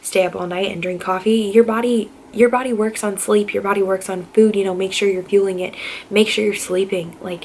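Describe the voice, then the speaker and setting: Noticeable background noise sits behind a woman's voice. Her pitch is medium and her intonation fairly even. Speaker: nursing student vlogger. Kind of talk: casual vlog talk to camera. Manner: fast.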